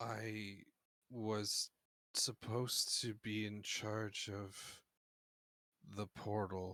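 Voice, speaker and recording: Using a gruff, put-on character voice, a man speaks at a very slow pace and fairly low pitch in monotone, flat intonation, with long, frequent pauses and a dry, close sound with no echo. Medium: actual play.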